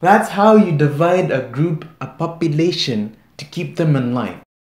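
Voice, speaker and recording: A man with a high-pitched voice speaks with lively intonation, and the room echo is audible. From Kenya. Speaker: YouTube reaction creator. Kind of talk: reaction video commentary. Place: home room.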